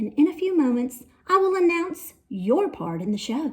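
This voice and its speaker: In a put-on character voice, a woman speaks with a high pitch. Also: moderate pace. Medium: read story. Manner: theatrical, grand.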